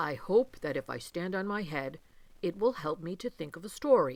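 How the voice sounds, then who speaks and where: A woman speaks in a put-on character voice. Her pitch sits fairly low for a woman. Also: moderate pace. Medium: read story.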